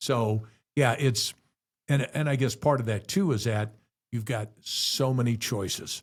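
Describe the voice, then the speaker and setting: A man with an American accent talks at a fairly slow pace, his medium-pitched voice somewhat breathy. His pitch varies in an ordinary way. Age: 70s. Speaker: rock radio DJ. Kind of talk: casual chat.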